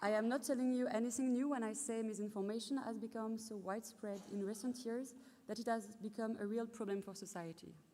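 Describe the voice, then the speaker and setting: A woman with a French accent speaks at a fairly quick pace in a fairly high pitch, her tone dark and mellow and her intonation fairly even. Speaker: PhD graduate. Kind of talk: ceremony speech.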